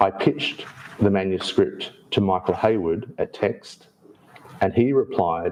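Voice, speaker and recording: A man speaks with an Australian accent. His pace is fairly slow. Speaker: author. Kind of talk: public talk. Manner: halting.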